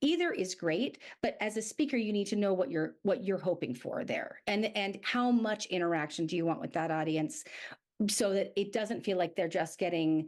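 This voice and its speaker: Lively in her intonation, a woman speaks at a medium pitch in a very clean recording with a silent background. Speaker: speaking coach. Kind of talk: podcast interview. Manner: fast.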